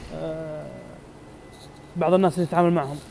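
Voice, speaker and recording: Against light background noise, a man with a high pitch speaks very fast in monotone, flat intonation. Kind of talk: casual live-stream tour chat. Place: garage. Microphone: earbuds.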